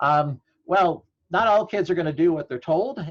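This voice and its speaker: Against a quiet background, a man talks at a moderate pace with a dry, close sound and no echo. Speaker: law professor. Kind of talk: webinar presentation.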